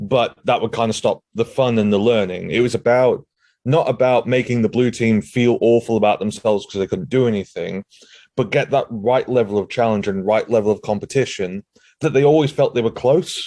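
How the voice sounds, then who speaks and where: A man talks at a fairly quick pace in a dark, mellow tone with very even loudness, the sound dry and close with no echo. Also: medium pitch for a man, ordinary pitch variation. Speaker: cloud security consultant. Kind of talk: conference talk. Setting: remote video call. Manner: upbeat.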